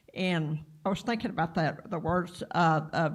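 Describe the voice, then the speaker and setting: A woman's voice carries vocal fry and ordinary pitch variation. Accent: Texas. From Texas, Clarendon. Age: 60s. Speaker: workshop participant. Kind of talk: personal testimony. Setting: live-streamed training session. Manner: halting.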